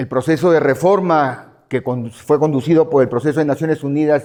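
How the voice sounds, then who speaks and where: Fairly quick delivery marks an unremarkable speaking voice. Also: man. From Peru. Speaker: lawyer and drug policy expert. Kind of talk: conference talk.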